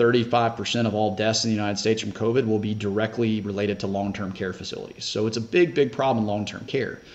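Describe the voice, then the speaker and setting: Speaking with a Southern US accent, a man moves at a fairly quick pace. He leaves hardly any pauses. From US South, Shreveport, Louisiana; Louisiana. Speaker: senior living developer; podcast guest. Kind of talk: casual interview. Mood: relaxed, candid. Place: home room. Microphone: video call.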